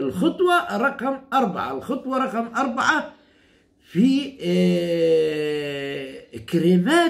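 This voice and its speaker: A man talks very slowly against a quiet background. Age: 60s. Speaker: herbalist. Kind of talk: tutorial. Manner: repetitive, halting. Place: home room. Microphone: phone near.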